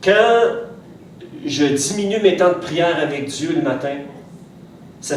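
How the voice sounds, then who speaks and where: A man with a Quebec accent, fairly high pitch and lively intonation, over noticeable background noise and audible room echo. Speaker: pastor. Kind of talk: sermon. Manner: hesitant, many fillers and repetitions.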